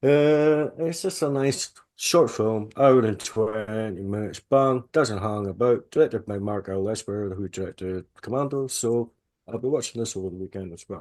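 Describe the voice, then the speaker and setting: Against a quiet background, a man with a Scottish accent speaks at a medium pitch and moderate pace, with ordinary pitch variation and big swings in loudness. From Scotland. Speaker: film reviewer, co-host. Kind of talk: casual podcast chat.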